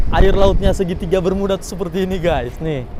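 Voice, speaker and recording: This man talks fairly quickly in a high voice. Noticeable background noise and audible room echo fill the recording. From North Sumatra, Indonesia. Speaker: vlogger, cruise ship crew member. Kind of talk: travel vlog. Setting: outdoors on cruise ship open deck. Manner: animated. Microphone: no microphone, may sound poor.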